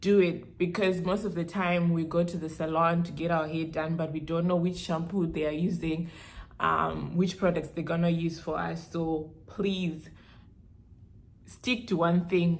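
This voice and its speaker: With a Zimbabwean accent, a woman speaks slowly-ish, fairly low and monotone, with audible room echo. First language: Shona. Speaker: beauty vlogger. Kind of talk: hair care tutorial vlog. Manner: casual, code-switching with Shona.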